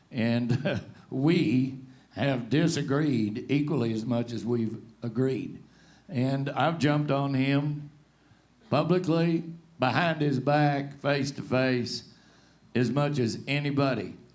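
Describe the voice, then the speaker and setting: With long, frequent pauses and audible room echo, a man with a fairly high pitch talks at a very slow pace and with ordinary pitch variation. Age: 60s. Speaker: rodeo announcer and show co-host. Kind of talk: panel discussion. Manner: animated.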